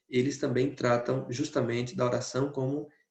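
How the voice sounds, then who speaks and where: A man with an unremarkable speaking voice, medium pitch, fairly even intonation and a fairly slow pace. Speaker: priest giving a talk. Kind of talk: lecture.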